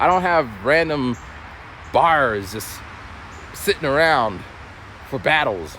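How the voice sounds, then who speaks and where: A man speaks slowly, at a fairly slow pace, with a fairly high pitch and very wide pitch swings. There is noticeable background noise. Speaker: vlogger and former battle rapper. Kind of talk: casual vlog storytelling. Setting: outdoors, walking a trail.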